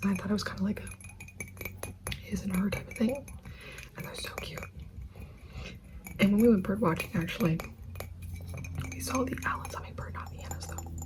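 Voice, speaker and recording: Noticeable background noise runs under the speech. The pace is fairly quick, broken by long, frequent pauses. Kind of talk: ASMR yap and chat to camera. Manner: soft, casual, chatty.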